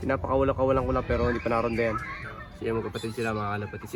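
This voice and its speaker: Noticeable background noise runs through the clip. The speaking pace is very fast. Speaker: pigeon racing vlogger. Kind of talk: casual vlog. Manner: halting.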